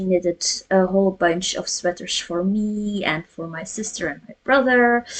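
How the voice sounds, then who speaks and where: Speaking at a fairly slow pace, a woman with a Flemish accent keeps her intonation fairly even. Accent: Flemish Belgian. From Flemish Belgium. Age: 30s. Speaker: cross stitch vlogger. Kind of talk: casual chat. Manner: halting.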